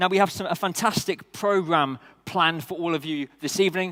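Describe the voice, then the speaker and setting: Talking at a fairly quick pace, a man with a British accent has a bright, sharp tone and fairly even intonation. The recording is very clean with a silent background and a dry, close sound with no echo. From United Kingdom. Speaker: event host. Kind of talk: event hosting speech. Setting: stage with audience.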